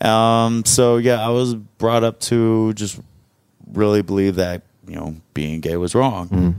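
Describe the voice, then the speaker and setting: With an ordinary speaking voice, a man talks fairly slowly at a fairly low pitch. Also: ordinary pitch variation. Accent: American. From US South, Arkansas. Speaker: adult film performer. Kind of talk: casual chat.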